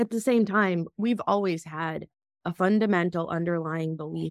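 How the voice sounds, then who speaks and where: A woman with a normal speaking voice and an American accent speaks at a moderate pace, her pitch fairly low and her intonation fairly even. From Russia (Moscow), then US. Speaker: biotech executive. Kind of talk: interview.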